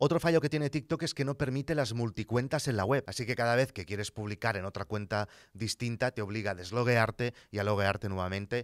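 A man speaks at a fairly quick pace with a quiet background. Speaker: content creator podcaster. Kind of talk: commentary. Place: studio. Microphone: studio mic.

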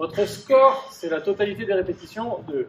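A man with lively intonation amid audible room echo and light background noise. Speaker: fitness coach. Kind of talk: workout explanation tutorial. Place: gym.

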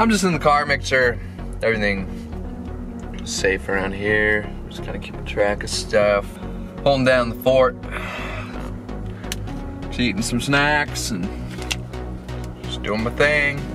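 A man speaks at a fairly slow pace with long, frequent pauses. Clear music plays in the background. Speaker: vlogger. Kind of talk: casual vlog chat. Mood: playfully self-pitying. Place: car.

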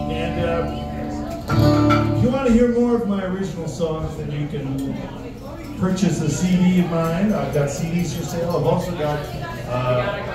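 A man speaks at a fairly slow pace. Clear music plays in the background, and room echo is audible. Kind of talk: stage banter between songs. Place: cafe. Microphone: camera far.

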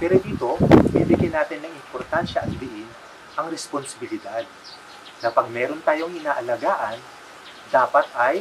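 Through noticeable background noise, a man talks with ordinary pitch variation. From Philippines. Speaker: educator. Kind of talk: closing remarks to parents and teachers. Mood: warm, earnest. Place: home room.

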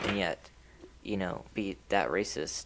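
Over noticeable background noise, a man with a fairly low pitch speaks at a fairly slow pace with fairly even intonation. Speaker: book podcast host. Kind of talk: casual chat.

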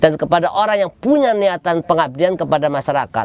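A man talks at a fairly quick pace with a high pitch for a man and ordinary pitch variation. The sound is dry, with no echo. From Cilegon, Banten, Indonesia; Banten, Indonesia. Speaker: local politician. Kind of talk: interview. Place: open country. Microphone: lapel.

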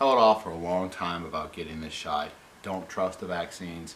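Against light background noise, a man with a very deep, low voice speaks with ordinary pitch variation. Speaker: vlogger. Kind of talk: opinion vlog rant. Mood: frustrated, critical. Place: home room.

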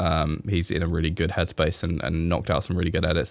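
Recorded dry with no echo, a man with an English accent speaks in a very deep, low voice. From England. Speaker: e-commerce brand owner and vlogger. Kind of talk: casual monologue update. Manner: hesitant with many fillers. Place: home room. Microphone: studio mic.

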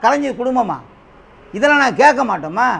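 Extremely high male voice with ordinary pitch variation. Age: 50s. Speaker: political party supporter. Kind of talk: political interview rebuttal. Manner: animated.

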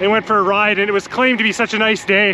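A man's high, raised, projected voice with a Canadian accent, dry with no echo, over light background noise. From Canada. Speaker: cycling vlogger. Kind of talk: casual vlog monologue. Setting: outdoors, on a bike ride. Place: bicycle. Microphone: phone near.

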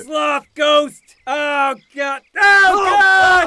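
A high-pitched, cartoonish character voice is shouting. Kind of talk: comic overacting. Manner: hysterical, melodramatic.

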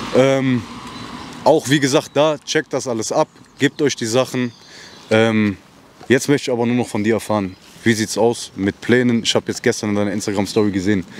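With light background noise and a dry sound with no echo, a man talks at a fairly quick pace, medium in pitch with ordinary pitch variation and long, frequent pauses. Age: 20s. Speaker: interviewer. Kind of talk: casual interview. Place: street. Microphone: handheld.

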